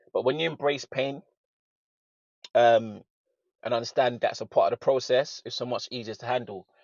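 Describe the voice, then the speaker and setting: The sound is dry and close, with no echo. It is a very clean recording with a silent background. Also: man. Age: 30s. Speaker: personal trainer. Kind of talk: street interview.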